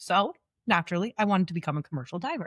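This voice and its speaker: A woman is speaking. Her voice sounds dry and close, with no echo. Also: very clean recording, silent background. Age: 30s. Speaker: welder and fitness coach sharing illness story. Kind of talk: podcast interview, personal story. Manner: casual, conversational.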